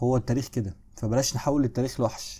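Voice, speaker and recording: A man with an Egyptian accent, a dark, mellow, medium-pitched voice, fairly even intonation and a fairly quick pace. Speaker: history teacher. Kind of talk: lecture. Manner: less loud than usual; casual, conversational.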